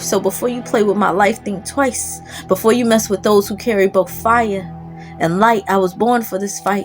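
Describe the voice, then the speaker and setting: Music plays in the background as a woman talks at a moderate pace. Her medium-pitched voice has fairly even intonation. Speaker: spoken word poet. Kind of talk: spoken word poetry performance.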